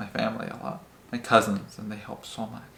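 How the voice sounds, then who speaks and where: Amid noticeable background noise, a man speaks fairly quickly at a medium pitch. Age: 20s. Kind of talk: interview answer.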